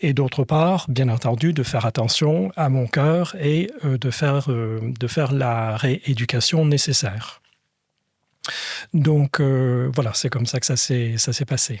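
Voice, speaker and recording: A man talks at a very slow pace with very even loudness and a somewhat breathy voice. His pitch is medium, with ordinary variation. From Scotland and France. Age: 60s. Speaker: patient, former lawyer. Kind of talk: podcast interview. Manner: hesitant, many fillers.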